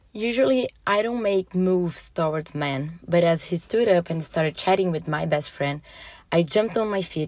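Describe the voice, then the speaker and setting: Heard on a very clean recording with a silent background, a woman has a plain, everyday voice at a fairly low pitch. She speaks at a moderate pace with ordinary pitch variation. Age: 30s. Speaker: listener sharing personal story. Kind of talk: reading aloud a personal story.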